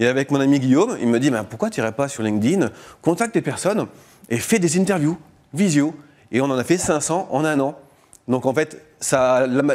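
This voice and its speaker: With a fairly high pitch and lively intonation, this man talks at a moderate pace. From northern France, Lille. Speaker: startup founder. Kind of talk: radio interview. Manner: casual.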